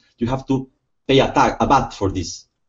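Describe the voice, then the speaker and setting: A man speaks in a Spanish accent. His intonation is fairly even. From Spain. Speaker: lawyer. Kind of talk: casual chat. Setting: video call. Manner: halting.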